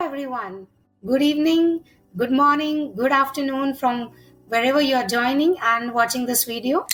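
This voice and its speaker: Over music in the background, a woman talks at a moderate pace. Her pitch is high, with ordinary pitch variation. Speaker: podcast host, retired air force officer. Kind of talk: podcast interview questions.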